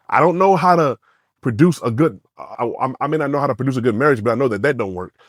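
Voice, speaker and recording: Very fast and lively in intonation, a man speaks at a fairly high pitch with a dry, close sound and no echo. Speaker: podcast co-host. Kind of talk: casual chat. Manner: loud.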